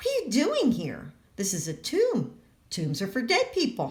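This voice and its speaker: A woman's put-on character voice, fairly high-pitched, at a moderate pace. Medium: read story. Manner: gentle, joyful.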